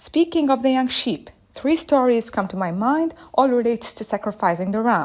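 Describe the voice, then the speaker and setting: With lively intonation and an Arabic accent, a woman speaks at a high pitch. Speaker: listener voicemail contributor. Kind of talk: voicemail message. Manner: fast.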